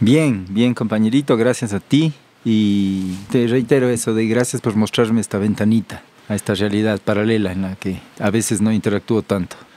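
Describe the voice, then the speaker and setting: At a moderate pace, a man with a Cuenca Ecuadorian accent speaks at a fairly low pitch, in a dry, close sound with no echo. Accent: Cuenca sing-song accent, retained. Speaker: farmer and butcher. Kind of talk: podcast interview. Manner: sing-song intonation; hesitant, repeats words.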